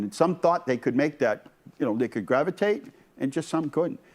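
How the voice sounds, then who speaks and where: Lively intonation and an American accent from a man, on a very clean recording with a silent background. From US Northeast. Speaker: mayor hosting local access TV show. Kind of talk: casual chat. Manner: fast.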